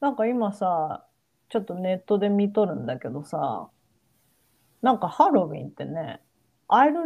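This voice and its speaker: Very wide pitch swings at a moderate pace. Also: woman. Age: 40s. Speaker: podcast co-host. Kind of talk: casual chat.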